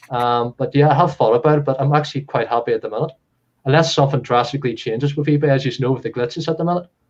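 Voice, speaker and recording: With a Belfast accent, a man speaks at a very fast pace and a fairly high pitch with fairly even intonation. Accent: Northern Irish (Belfast area). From Northern Ireland, Comber near Belfast. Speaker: reseller. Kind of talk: interview.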